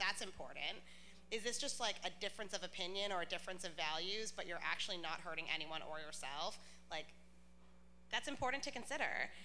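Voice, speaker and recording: Amid noticeable background noise and audible room echo, a woman with a medium pitch talks at a fairly quick pace with lively intonation. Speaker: panelist. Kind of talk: panel discussion. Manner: loud.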